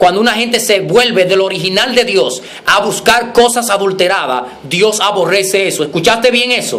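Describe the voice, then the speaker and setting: With an animated tone and high pitch, a man talks over noticeable background noise in a room with audible echo. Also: ordinary pitch variation, hardly any pauses. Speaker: preacher. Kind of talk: sermon. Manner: fast.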